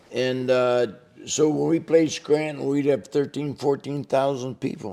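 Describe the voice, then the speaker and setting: A man speaks at a fairly slow pace in a fairly high voice, with fairly even intonation over noticeable background noise. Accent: American. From Binghamton, New York. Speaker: retired teacher and businessman, semi-pro football team founder. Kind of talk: interview answer. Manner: relaxed.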